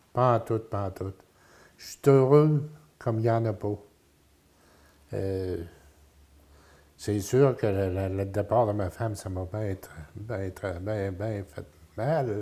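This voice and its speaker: In a Quebec accent, a man with a fairly low pitch, ordinary pitch variation and a dark, mellow tone speaks at a very slow pace with long, frequent pauses and big swings in loudness, in a very clean recording with a silent background. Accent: rural Quebec French. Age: 70s. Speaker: retiree interviewed about his life. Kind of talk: interview. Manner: halting.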